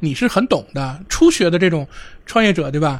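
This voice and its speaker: A man talks at a very fast pace. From Tanggu, Tianjin. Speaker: programmer and video blogger, guest co-host. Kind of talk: casual chat.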